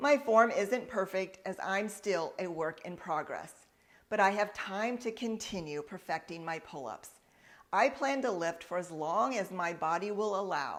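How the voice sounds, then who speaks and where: A woman's normal speaking voice, medium in pitch, with lively intonation and a fairly slow pace on a very clean recording with a silent background. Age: 60s. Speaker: fitness coach. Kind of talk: tutorial.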